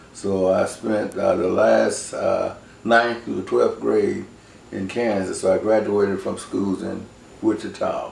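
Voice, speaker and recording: A man speaks with an American accent at a very slow pace. Room echo is audible. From Oklahoma. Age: 60s. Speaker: oral history interviewee. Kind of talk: oral history interview. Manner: hesitant, many fillers.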